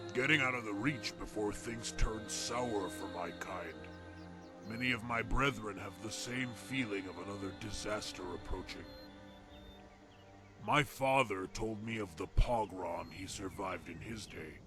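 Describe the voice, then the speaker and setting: Clear music plays behind a man doing a put-on character voice. He speaks at a moderate pace in a fairly low pitch. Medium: game stream.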